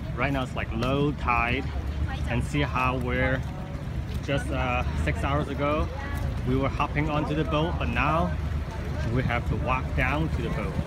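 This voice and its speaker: A man talks at a fairly slow pace with long, frequent pauses and ordinary pitch variation over loud background noise. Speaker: travel vlogger. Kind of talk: casual vlog chat. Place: boat. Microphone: phone near.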